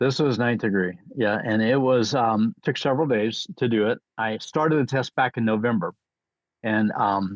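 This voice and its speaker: A man with an unremarkable speaking voice and an American accent talks at a moderate pace, his medium pitch showing ordinary variation and his loudness very even. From US military bases. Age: 60s. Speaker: martial arts grandmaster. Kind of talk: interview storytelling.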